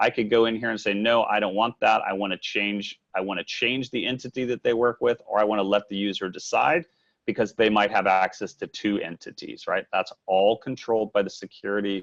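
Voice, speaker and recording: The speech comes at a fairly quick pace, with a dry, close sound and no echo. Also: man. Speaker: software product demonstrator, managing director. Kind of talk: software demo webinar. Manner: fast.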